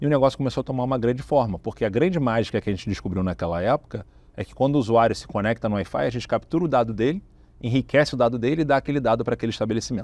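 Speaking at a very fast pace, a man with a medium pitch and ordinary pitch variation is heard in a dry recording with no echo. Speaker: tech company founder and CEO; interviewee. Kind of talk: business interview. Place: studio. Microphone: lapel.

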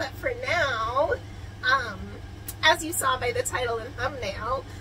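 A woman talks at a very slow pace. Light background noise can be heard. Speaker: travel vlogger. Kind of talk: casual vlog chat. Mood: cheerful, excited. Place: home room. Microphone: phone near.

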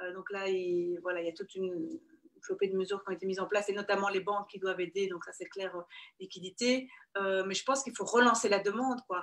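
A woman speaks at a fairly quick pace with big swings in loudness and ordinary pitch variation against a quiet background. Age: 30s. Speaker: construction company CEO; guest. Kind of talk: interview. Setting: video call. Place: office. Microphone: video call.

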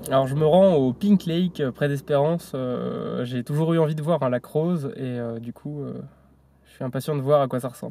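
A man's voice has a dark, mellow tone. The sound is dry, with no echo. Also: ordinary pitch variation, moderate pace, big swings in loudness. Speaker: travel vlogger. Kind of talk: casual vlog chat. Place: car. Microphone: phone near.

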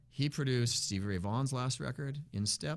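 A man speaks at a medium pitch with an American accent. His pitch varies in an ordinary way. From Massachusetts (Worcester); Massachusetts. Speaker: blues musician; guest. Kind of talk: interview. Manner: fast; energetic. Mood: relaxed, enthusiastic storytelling. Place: studio. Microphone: studio mic.

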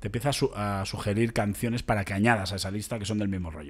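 A man talking at a very fast pace with fairly even intonation. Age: 30s. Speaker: podcast host, comedian. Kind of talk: casual chat.

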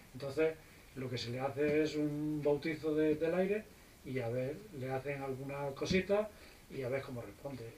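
A fairly high-pitched man's voice with ordinary pitch variation at a moderate pace, over light background noise. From Spain. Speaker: private pilot; guest. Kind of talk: casual interview; interview answer. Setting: visiting US flight school. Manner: hesitant, many fillers. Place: office. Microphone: camera far.

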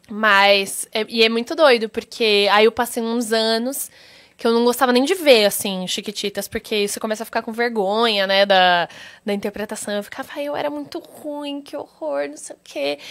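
Against a quiet background, a woman speaks at a moderate pace with lively intonation and big swings in loudness. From Brazil. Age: 20s. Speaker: actress. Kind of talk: interview. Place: studio. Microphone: studio mic.

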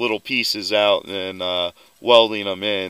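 A man with a bright, sharp tone, fairly even intonation and a moderate pace. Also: quiet background, dry sound with no echo. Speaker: vehicle hobbyist vlogger. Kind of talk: casual vlog chat. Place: open country. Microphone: phone near.

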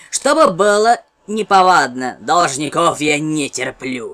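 This is a put-on character voice at middle pitch. It moves at a fairly slow pace. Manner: menacing, mocking.

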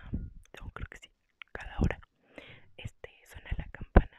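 A woman is whispering. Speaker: ASMR creator. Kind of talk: casual talk to camera. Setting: home recording with headset microphone. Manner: soft-spoken, whispered. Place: home room. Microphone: earbuds.

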